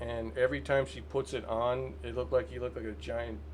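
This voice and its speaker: The speaker mumbles in a somewhat breathy voice. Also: man. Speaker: gaming video creator. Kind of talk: casual commentary. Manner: halting, stammering; mumbling.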